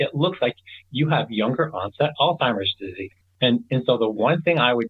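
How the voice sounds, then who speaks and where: With lively intonation, a man speaks at a medium pitch and a moderate pace. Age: 60s. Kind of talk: interview. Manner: halting.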